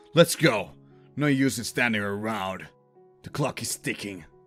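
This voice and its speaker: Over faint music in the background, a man uses a put-on character voice at a medium pitch and a moderate pace. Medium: audio drama. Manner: brash, cold.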